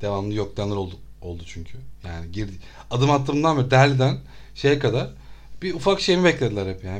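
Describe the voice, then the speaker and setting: A man talks at a very fast pace with lively intonation and a somewhat breathy voice. Room echo can be heard around him. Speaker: traveler. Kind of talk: casual chat. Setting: studio. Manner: animated.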